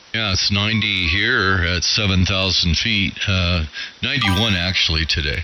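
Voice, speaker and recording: A man with a very deep, low pitch speaks at a moderate pace with ordinary pitch variation and very even loudness, amid noticeable background noise and audible room echo. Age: 70s. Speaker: amateur radio operator. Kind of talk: casual chat.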